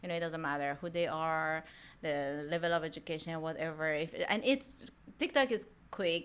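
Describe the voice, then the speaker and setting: Captured in a very clean recording with a silent background, a woman with a strong Iranian accent speaks at a moderate pace, her fairly low voice carrying lively intonation. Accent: thick Iranian. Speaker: mortgage professional. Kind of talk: casual chat. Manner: animated.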